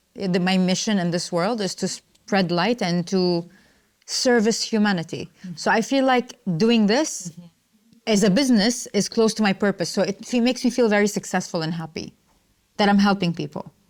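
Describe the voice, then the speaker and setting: Speaking at a moderate pace, a woman keeps a medium pitch. Her pitch variation is ordinary. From UAE (Dubai, Ajman). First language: Arabic. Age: 30s. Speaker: entrepreneur and coach. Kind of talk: interview.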